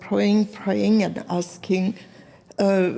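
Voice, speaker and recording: A dark, mellow tone marks a woman's voice pitched at a medium level. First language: not English. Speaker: artist. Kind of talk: interview. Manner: halting.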